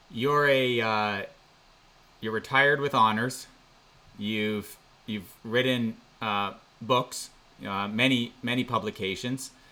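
A man with a Canadian accent at a medium pitch, very slow with long, frequent pauses, his bright, sharp tone held to fairly even intonation. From Canada. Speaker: podcast host. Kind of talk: interview. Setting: video call. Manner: halting.

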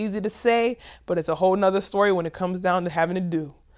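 Over a quiet background, a woman talks at a very fast pace. Her pitch is medium and her intonation fairly even. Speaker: education podcast host and advisor. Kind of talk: solo podcast monologue. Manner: casual, with many fillers.

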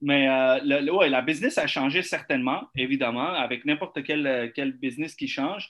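This man has a plain, everyday voice, pitched fairly high. He talks at a moderate pace with ordinary pitch variation. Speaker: real estate broker. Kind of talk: casual chat.

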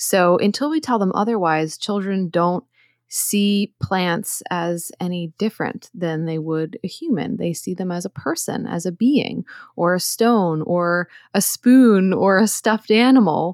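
On a very clean recording with a silent background and a dry, close sound with no echo, a woman speaks in an unremarkable speaking voice at a fairly slow pace, her medium pitch showing ordinary variation. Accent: American. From US Northeast, outside Philadelphia. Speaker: herbalist and author. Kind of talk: interview.

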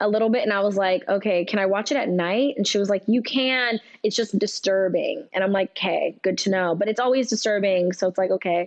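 With an American accent, a woman uses an ordinary speaking voice at a medium pitch, talking at a fairly quick pace with ordinary pitch variation and very even loudness. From California, Bakersfield. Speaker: actress. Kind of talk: casual chat.

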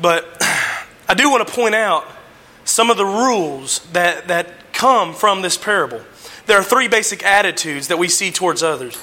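A man speaks at a moderate pace in a high, raised and projected voice with lively intonation, over noticeable background noise. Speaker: lay preacher. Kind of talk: sermon. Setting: church. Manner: halting, frequent fillers.

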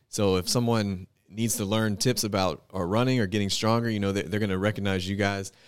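In an ordinary speaking voice, a man talks at a fairly quick pace with hardly any pauses, a fairly low pitch, fairly even intonation and very even loudness, on a very clean recording with a silent background. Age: 30s. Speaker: fitness enthusiast. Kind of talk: casual chat.

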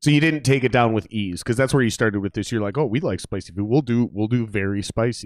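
A man's medium-pitched voice in a Minnesota accent, very fast with hardly any pauses, animated in tone with ordinary pitch variation, on a very clean recording with a silent background. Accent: Midwestern US (Minnesota). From Minnesota, US Midwest. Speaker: podcast host and musician. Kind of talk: casual chat. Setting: live stream studio. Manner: animated, profane.

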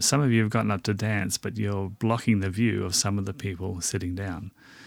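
Over music in the background, a man speaks at a very fast pace in an Australian accent. He has a fairly low pitch and fairly even intonation. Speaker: podcast host. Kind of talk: casual podcast chat.

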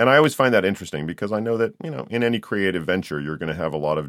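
Talking at a very fast pace, a man uses lively intonation and vocal fry on a very clean recording with a silent background. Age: 50s. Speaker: podcast host and audiobook narrator. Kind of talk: casual interview chat.

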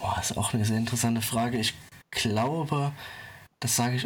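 A man at a medium pitch talks at a fairly quick pace. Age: 20s. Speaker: finance social media creator and public sector employee. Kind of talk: casual interview. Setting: remote internet recording.

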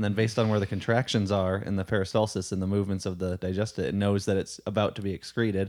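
A man at a fairly low pitch, very fast and with hardly any pauses, monotone and flat, on a very clean recording with a silent background. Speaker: podcast co-host. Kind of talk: casual conversation.

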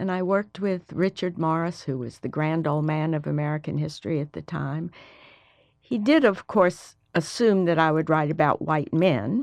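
In a Southern US accent, a woman speaks at a moderate pace with ordinary pitch variation. Her pitch is very deep and low, and the background is quiet. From US South, Mobile, Alabama. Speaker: history professor. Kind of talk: interview.

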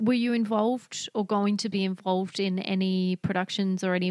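Fairly even intonation marks this voice. It carries an Australian accent. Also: woman, dry, close sound with no echo. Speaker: podcast host. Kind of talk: casual chat. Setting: video call.

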